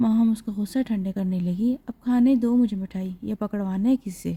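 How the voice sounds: The speaker reads in a natural reading voice, pitch varying by an ordinary amount.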